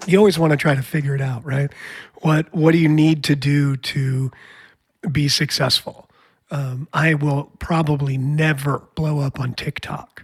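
A man's fairly high, somewhat breathy voice, fairly slow and monotone with flat intonation. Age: 50s. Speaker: podcast host and musician. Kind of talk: casual interview chat.

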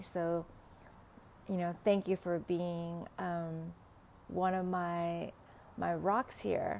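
In a Vietnamese accent, a woman speaks very slowly in a fairly low pitch, her tone dark and mellow and her intonation monotone and flat. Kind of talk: casual solo podcast talk. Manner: halting, many fillers.

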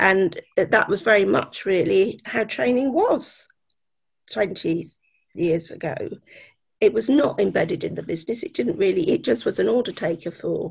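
This woman's voice has a medium pitch and some vocal fry. Her pitch swings very widely. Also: moderate pace. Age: 60s. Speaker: magazine editor. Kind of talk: casual interview. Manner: hesitant, many fillers.

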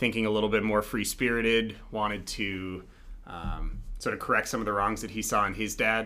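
This man has a General American accent and a bright, sharp tone. His intonation is monotone and flat, at a moderate pace. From Colorado, Denver. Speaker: MBA student. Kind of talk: interview. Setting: small studio room.

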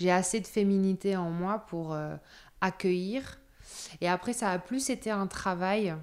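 In a very clean recording with a silent background, a woman talks fairly slowly in an ordinary speaking voice, medium in pitch, with ordinary pitch variation. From Paris suburbs, France. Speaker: nomadic yoga practitioner. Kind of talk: interview testimony.

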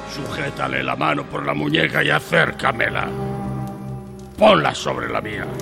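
A man in a put-on character voice speaks at a fairly slow pace over clear music in the background. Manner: sly, menacing, cackling.

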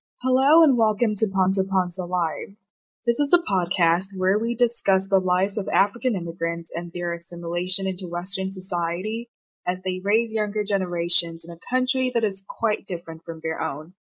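A plain, everyday voice at a fairly quick pace, with ordinary pitch variation. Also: woman, medium pitch for a woman. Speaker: podcast intro/outro voice. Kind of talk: scripted intro.

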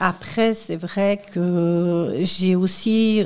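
The woman's medium-pitched voice has a dark, mellow tone and fairly even intonation. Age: 50s. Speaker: local election candidate and tour guide. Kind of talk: radio interview. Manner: halting, with repetitions.

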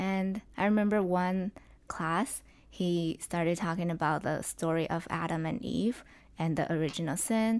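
A woman with a Chinese accent speaks in a fairly low voice with ordinary pitch variation. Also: moderate pace. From southwestern China. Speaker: podcast guest. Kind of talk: testimony. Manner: halting, many fillers.

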